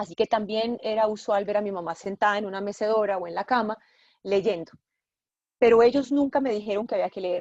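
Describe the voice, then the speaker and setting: Against a quiet background, a woman speaks in an ordinary speaking voice with a fairly high pitch, fairly even intonation and a fairly quick pace, the sound dry and close with no echo. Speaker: journalist and bookshop owner. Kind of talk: interview.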